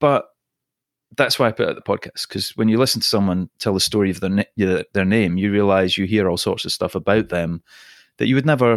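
A man with a Scottish accent, fairly low in pitch, at a fairly quick pace. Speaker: podcast host and storytelling team-building trainer. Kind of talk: casual interview chat.

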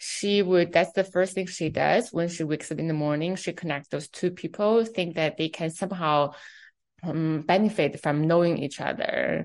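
With a Chinese accent, a woman talks at a moderate pace in a fairly low pitch, her intonation fairly even. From China, Beijing. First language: Mandarin Chinese. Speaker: fashion executive. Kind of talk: interview.

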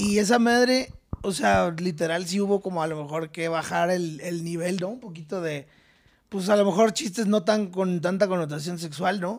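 Speaking at a moderate pace, a man with a high voice uses ordinary pitch variation. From Querétaro, Mexico. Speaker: comedian. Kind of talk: casual chat. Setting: studio.

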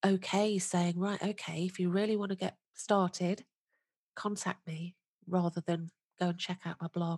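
A woman's monotone, flat intonation in a British accent, with a dry, close sound and no echo. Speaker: podcast host. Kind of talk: interview, friendly chat.

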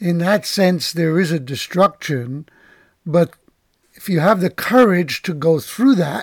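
In a very clean recording with a silent background, a man with a high pitch talks at a fairly slow pace using lively intonation. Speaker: podcast host. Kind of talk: interview.

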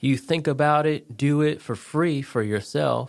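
A man with an American accent at a very slow pace, on a very clean recording with a silent background. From Connecticut. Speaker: veteran and real estate agent. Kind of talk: casual chat.

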